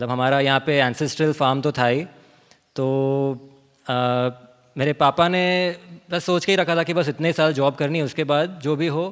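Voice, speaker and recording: Fairly high in pitch, this man keeps his intonation fairly even. His pace is moderate, broken by long, frequent pauses. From Pardi, Gujarat, India. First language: Gujarati (speaking Hindi). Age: young. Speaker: author and organic farmer. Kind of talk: seminar talk. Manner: code-switching Hindi and English, some fillers.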